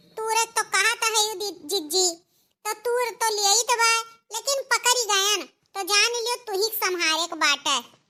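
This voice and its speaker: At an extremely high pitch and moderate pace, a squeaky cartoonish character voice speaks. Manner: fearful, anxious.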